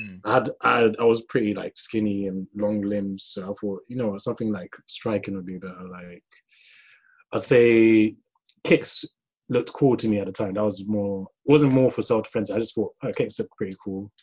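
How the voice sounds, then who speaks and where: A man talks with a London accent at a moderate pace. His pitch sits fairly low. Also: fairly even intonation. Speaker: martial artist. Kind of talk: casual chat.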